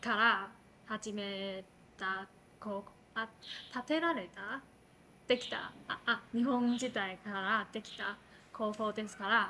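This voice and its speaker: With light background noise, a woman with a fairly high pitch speaks at a very slow pace, using fairly even intonation and long, frequent pauses. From Taiwan, Taipei. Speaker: interviewee. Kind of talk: interview answer.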